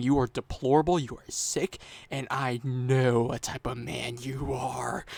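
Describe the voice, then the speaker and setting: The man's voice is medium-pitched, with fairly even intonation and a fairly slow pace. He has an ordinary speaking voice, heard on a very clean recording with a silent background. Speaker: YouTube commentator. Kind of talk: commentary rant.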